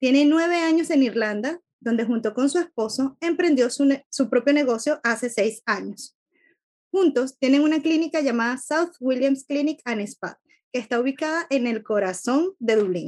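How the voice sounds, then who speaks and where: Moderately paced female speech, high in pitch with ordinary variation. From Venezuela. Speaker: podcast co-host, business coach. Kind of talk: interview; scripted introduction.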